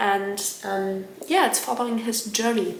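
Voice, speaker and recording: A woman's medium-pitched voice with fairly even intonation at a fairly slow pace, with audible room echo and noticeable background noise. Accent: German. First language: German. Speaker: book vlogger. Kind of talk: casual vlog talk. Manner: hesitant, filler-heavy.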